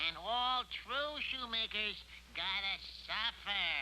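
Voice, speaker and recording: Using a cartoonish character voice, a man talks at a fairly slow pace and high pitch over clear background noise. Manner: brash, slangy.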